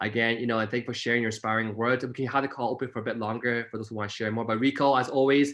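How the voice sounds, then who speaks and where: A man's very fast speech in a monotone with flat intonation. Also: medium pitch for a man, hardly any pauses. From Toronto, Canada (Scarborough). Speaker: network marketing entrepreneur sharing story. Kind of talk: motivational talk on group call. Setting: online group call. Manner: mumbling at times.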